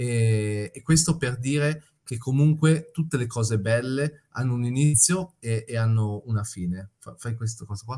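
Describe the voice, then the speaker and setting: A man with an Italian accent speaks at a fairly slow pace with hardly any pauses, his medium-pitched voice dark, mellow and somewhat breathy, with ordinary pitch variation and big swings in loudness. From Italy. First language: Italian (speaking Spanish). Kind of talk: interview. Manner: halting.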